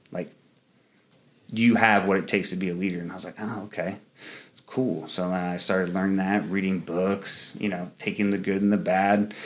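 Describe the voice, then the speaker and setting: The delivery is monotone, with flat intonation. The pace is fairly quick. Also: man. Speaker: Marine and leadership coach. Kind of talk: interview conversation. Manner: casual, filler-heavy.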